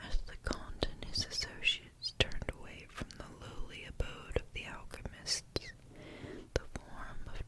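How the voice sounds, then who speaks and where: Someone whispers at a fairly slow pace amid noticeable background noise. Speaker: ASMR story reader. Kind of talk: whispered story reading for ASMR. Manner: whispered.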